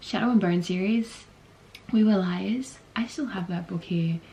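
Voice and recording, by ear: At a moderate pace, a woman speaks with a slightly mellow tone and a fairly low pitch.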